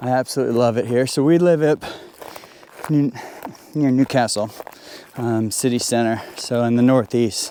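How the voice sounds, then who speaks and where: A man at medium pitch, fairly quick and fairly even in intonation, with noticeable background noise. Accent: American. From United States. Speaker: landscape photographer. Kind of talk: casual vlog narration. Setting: outdoors. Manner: halting, many fillers.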